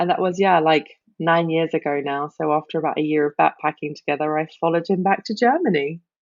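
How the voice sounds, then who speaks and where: The speech comes at a very fast pace with fairly even intonation in a British accent. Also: woman, very deep, low pitch for a woman. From Britain. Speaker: life coach and cancer survivor. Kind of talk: podcast interview.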